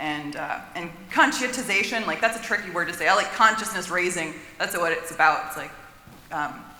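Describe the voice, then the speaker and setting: Fairly quick speech in an American accent, with noticeable background noise. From Florida, US South. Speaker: audience member asking a question. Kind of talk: audience comment at panel Q&A. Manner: casual, filler-heavy.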